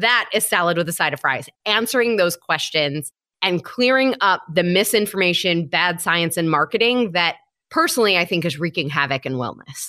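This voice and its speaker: A woman with an American accent, fairly low pitch, bright, sharp tone and lively intonation, at a moderate pace, on a very clean recording with a silent background. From Michigan. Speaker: health coach. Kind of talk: interview.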